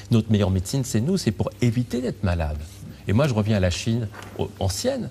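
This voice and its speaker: Amid noticeable background noise, a man talks at a very fast pace with a fairly low pitch. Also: ordinary pitch variation. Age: 60s. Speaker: physician and author. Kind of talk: interview.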